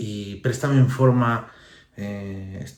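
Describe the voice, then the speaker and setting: There's audible room echo as a man speaks in a somewhat breathy voice with fairly even intonation. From Asturias. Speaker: author. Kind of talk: book presentation. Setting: book fair. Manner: halting.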